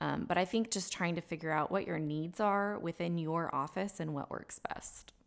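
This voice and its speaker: A woman with an American accent talks at a moderate pace with hardly any pauses. Hers is an unremarkable speaking voice, fairly low in pitch, with ordinary pitch variation. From Texas Hill Country (Fredericksburg). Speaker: family lawyer, law school alumni director. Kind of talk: interview.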